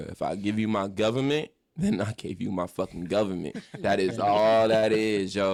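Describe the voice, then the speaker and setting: A man at fairly low pitch, animated in tone with ordinary pitch variation and a moderate pace, on a very clean recording with a silent background. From Los Angeles, San Fernando Valley. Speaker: rapper. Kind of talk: casual interview chat.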